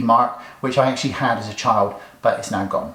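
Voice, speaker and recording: A man talks at a very fast pace. The room echo is audible, and background noise is noticeable. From England, Somerset (Bridgwater). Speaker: beauty YouTuber. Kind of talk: makeup tutorial, comedic get-ready-with-me. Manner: deadpan, tongue-in-cheek.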